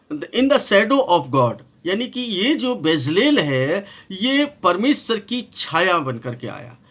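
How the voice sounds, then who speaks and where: A man's high pitch with very wide pitch swings and a non-native accent. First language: not Hindi (speaking Hindi). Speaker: pastor and Bible numerology teacher. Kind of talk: Bible study lecture. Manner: halting, with many fillers.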